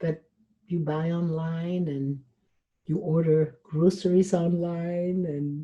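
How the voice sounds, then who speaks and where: Speaking very slowly, a woman uses a fairly low, somewhat breathy voice with a dark, mellow tone and fairly even intonation. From Switzerland. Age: 70s. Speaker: relationship coach and motivational speaker. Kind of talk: interview.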